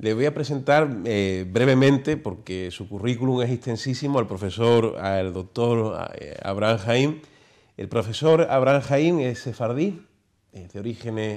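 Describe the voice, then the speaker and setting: An ordinary speaking voice moves at a fairly slow pace, with lively intonation and big swings in loudness. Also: man. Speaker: TV show host. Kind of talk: interview. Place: studio. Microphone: lapel.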